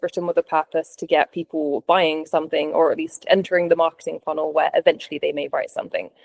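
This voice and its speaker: Speaking very fast, a woman talks in a British accent. The sound is dry and close, without echo. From UK. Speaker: travel copywriter. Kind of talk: interview.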